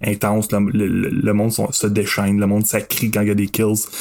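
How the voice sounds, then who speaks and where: A man speaks in a normal speaking voice, fairly low in pitch. His pace is fairly slow. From Quebec, Masson-Angers near Gatineau. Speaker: guest horror film fan. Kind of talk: casual chat.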